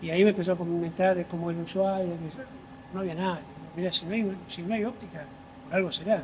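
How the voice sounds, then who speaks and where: A man talking at a very fast pace. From Buenos Aires, Argentina (Palermo). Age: 60s. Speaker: volunteer firefighter. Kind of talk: interview conversation. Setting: fire station.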